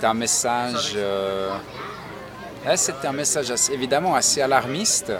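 In a room with audible echo and crowd noise in the background, a man of medium pitch talks at a moderate pace with ordinary pitch variation. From Switzerland, Nyon (Vaud). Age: 40s. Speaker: university staff member. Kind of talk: interview. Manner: hesitant, with fillers and repetitions.

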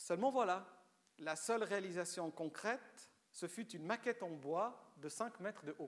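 A man with a Romanian accent talks at a fairly slow pace in a high voice with ordinary pitch variation. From Switzerland, Lausanne (Vaud), born in Romania. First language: Romanian (speaking French). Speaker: writer. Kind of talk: public lecture.

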